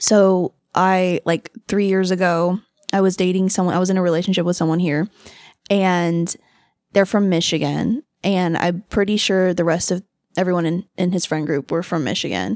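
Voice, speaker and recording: At a moderate pace, a woman speaks at medium pitch with monotone, flat intonation, in a very clean recording with a silent background and a dry, close sound with no echo. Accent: American. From Los Angeles, California. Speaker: event hostess and former film worker. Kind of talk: casual chat. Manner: giggly, filler-heavy.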